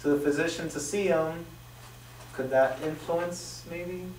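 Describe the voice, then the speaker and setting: A high-pitched man with fairly even intonation, in audible room echo. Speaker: student presenting in class discussion. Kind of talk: classroom presentation of a study. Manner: fast.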